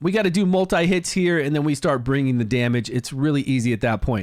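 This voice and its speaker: A man speaks at a fairly quick pace in a fairly high pitch with very wide pitch swings, an animated tone, and hardly any pauses. His loudness stays very even, and the recording is very clean with a silent background. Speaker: gaming youtuber. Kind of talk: gameplay commentary. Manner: fast.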